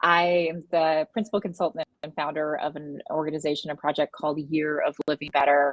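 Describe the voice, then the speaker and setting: A woman with an American accent speaks in a plain, everyday voice. Her pitch is fairly low and her pace moderate. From United States. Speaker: wellness consultant. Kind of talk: panel discussion.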